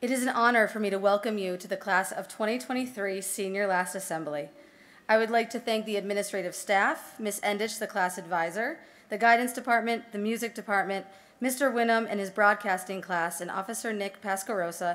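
Her pace fairly quick, a woman speaks with ordinary pitch variation. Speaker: speaker. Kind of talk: formal ceremony address. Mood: formal, earnest. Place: hall.

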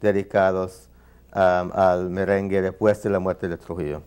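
A man with an English accent, fairly low-pitched, at a fairly slow pace over a quiet background. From New York. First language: English (speaking Spanish). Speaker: ethnomusicologist and saxophonist; guest. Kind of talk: interview. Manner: halting. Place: studio. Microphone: lapel.

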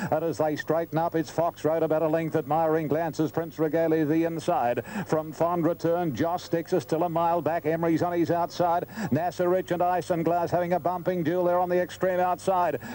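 Talking at a fairly quick pace with hardly any pauses, a man with an Australian accent uses a high voice, very even loudness and fairly even intonation over noticeable background noise. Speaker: race caller. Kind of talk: live commentary.

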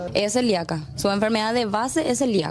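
The voice shows ordinary pitch variation over clear background noise. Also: woman.

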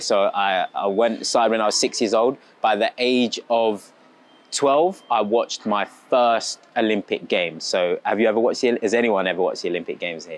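A man with a British accent speaks at a moderate pace, the sound dry with no echo. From England. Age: 20s. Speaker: athlete. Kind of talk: school talk to children. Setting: assembly with audience. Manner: animated.

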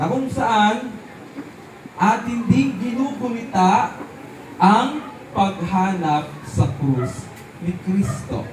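Amid noticeable background noise, a man with a high pitch speaks at a very slow pace, his voice making very wide pitch swings between long, frequent pauses. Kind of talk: homily at an outdoor Santa Cruzan Mass, a priest preaching to a parish crowd. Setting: outdoors at a religious procession with a crowd. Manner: warm, unhurried and repetitive, stressing key words and drawing out the answers.

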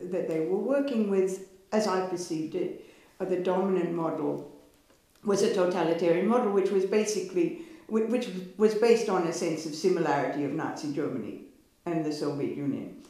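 Speaking at a fairly quick pace with ordinary pitch variation, a woman is heard over audible room echo. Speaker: history professor. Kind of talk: interview answer. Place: home room.

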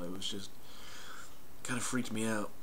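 A man speaks with a fairly low pitch and fairly even intonation. Background noise is noticeable. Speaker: vlogger. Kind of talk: casual vlog chat. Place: home room. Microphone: headset.

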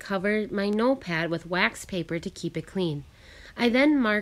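A passage read aloud in a natural voice

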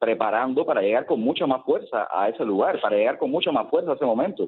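A man speaks with a Cuban accent. His pace is very fast. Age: 30s. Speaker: playwright and activist. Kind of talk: radio interview. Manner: halting, repeats words.

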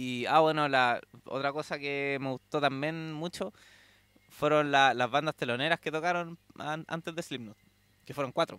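In a Chilean accent, a man speaks at a moderate pace with a fairly high pitch, fairly even intonation and a bright, sharp tone, in dry sound with no echo. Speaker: metal fan recounting concert trip. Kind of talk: casual interview. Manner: halting, frequent repetitions. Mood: relaxed, enthusiastic storytelling. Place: home room. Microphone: handheld.

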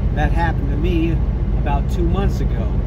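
A man talks over loud background noise. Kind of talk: tutorial. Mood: calm and matter-of-fact. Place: car. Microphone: phone near.

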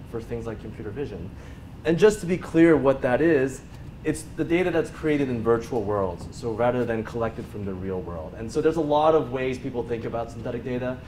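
Over light background noise, a man talks at a fairly quick pace, his loudness swinging widely. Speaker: conference speaker. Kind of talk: lecture. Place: meeting room.

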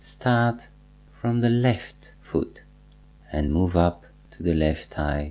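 A man's very slow, calm, soothing speech, with a very deep, low pitch, a dark, mellow tone, very wide pitch swings and long, frequent pauses. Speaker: meditation teacher. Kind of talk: guided meditation, slow second-person instructions leading a body scan with pauses. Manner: calm, slow and soothing, repeating cues; gently instructive, reassuring tone with deliberate pauses.

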